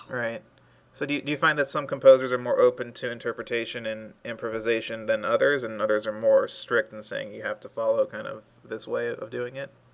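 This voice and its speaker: The speech comes at a fairly quick pace with big swings in loudness. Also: man. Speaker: film music interviewer. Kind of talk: interview questions.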